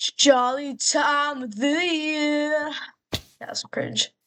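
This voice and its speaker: A woman speaks in an animated tone. Her pitch is high. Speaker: gaming streamer. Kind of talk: casual gameplay commentary. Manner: casual, animated; stuttering, halting at times.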